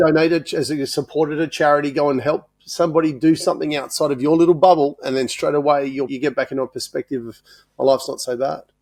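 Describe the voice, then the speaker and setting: Here a man speaks very fast with an Australian accent. His pitch is fairly high and his intonation fairly even. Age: 50s. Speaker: podcast host, business coach. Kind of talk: interview conversation.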